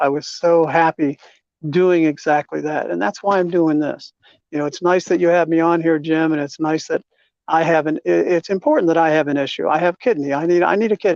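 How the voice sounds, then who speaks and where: With an American accent, the speaker keeps a moderate pace and fairly even intonation. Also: man. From United States. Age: 60s. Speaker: kidney transplant seeker. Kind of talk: interview. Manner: halting.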